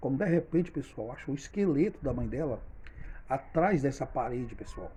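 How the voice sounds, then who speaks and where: A man with a fairly high pitch speaks at a moderate pace. His voice is somewhat breathy, with a dark, mellow tone. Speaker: storyteller, channel owner. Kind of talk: storytelling monologue.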